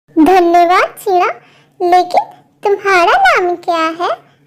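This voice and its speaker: A woman uses a squeaky, cartoonish character voice at an extremely high pitch, speaking at a very slow pace with fairly even intonation. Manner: sweet, earnest.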